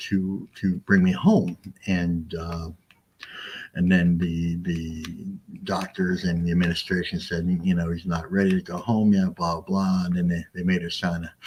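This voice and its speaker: A man speaks in an American accent at a fairly slow pace. His very deep, low voice is monotone and flat. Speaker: author. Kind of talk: interview. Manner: halting.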